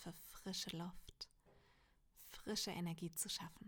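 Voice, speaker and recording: Somewhat breathy, a woman speaks at a fairly low pitch in a gentle, calm tone. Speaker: meditation guide. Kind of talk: guided meditation. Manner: slow, calm and soothing, with long pauses; soft-spoken and gentle.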